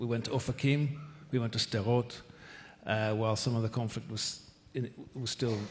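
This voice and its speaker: Somewhat breathy, a man with a Northern Irish accent talks at a fairly quick pace with medium pitch and fairly even intonation. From Northern Ireland. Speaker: ambassador. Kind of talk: panel discussion. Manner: halting.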